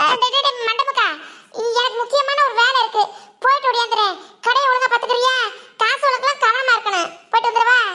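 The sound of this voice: Using a cartoonish character voice, a woman talks at a fairly quick pace at an extremely high pitch, her loudness very even.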